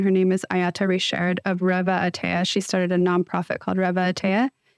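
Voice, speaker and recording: Someone with an American accent talks at a fairly quick pace on a very clean recording, dry and close with no echo and a silent background. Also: woman. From US, Northern California (Bay Area). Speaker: marine biologist and ocean photographer. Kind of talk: interview.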